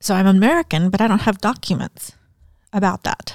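A woman's very fast speech with vocal fry. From Mexico and US (raised in a polygamist cult, moving around). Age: 50s. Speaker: author and speaker. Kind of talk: interview, personal life story. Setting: studio.

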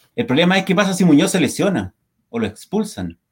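A man speaking at a fairly quick pace, his intonation lively. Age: 40s. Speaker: football fan podcast co-host. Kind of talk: casual chat. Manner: animated.

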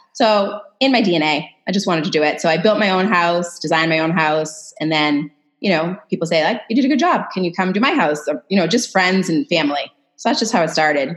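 Hers is an ordinary speaking voice, fairly low-pitched, with an American accent. The woman's intonation is lively and her loudness very even. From Massachusetts, US. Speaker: interior designer, former psychologist. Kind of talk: casual interview chat.

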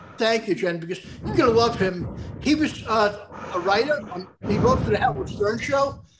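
A man speaks in a high pitch. His loudness swings widely. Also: lively intonation, moderate pace. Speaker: podcast host. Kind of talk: casual chat. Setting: video call. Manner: animated.

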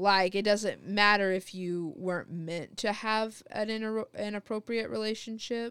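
The speaker keeps a moderate pace with fairly even intonation and hardly any pauses. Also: woman, medium pitch for a woman. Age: 20s. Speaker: podcast co-host. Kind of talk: casual chat. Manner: halting, many fillers and restarts; laughs often.

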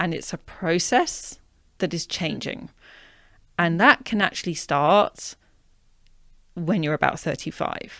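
A woman with a British accent talks at a very slow pace, leaving long, frequent pauses. Her fairly low voice has ordinary pitch variation on a very clean recording with a silent background. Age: 40s. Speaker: author and menstrual health coach. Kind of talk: casual interview.

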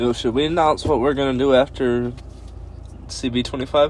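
A man with a medium-pitched voice talks at a moderate speed with fairly even intonation while noticeable noise sounds in the background. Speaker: podcast host. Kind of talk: casual chat. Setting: in-person recording.

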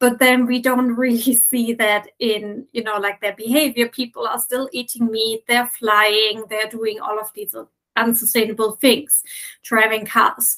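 A woman's fairly high, bright and sharp voice with a German accent, monotone and flat in intonation, at a fairly slow pace. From Germany. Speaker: sustainability consultant. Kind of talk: interview.

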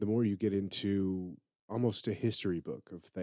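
Behind the voice, all is quiet. Someone is reading aloud in a natural voice.

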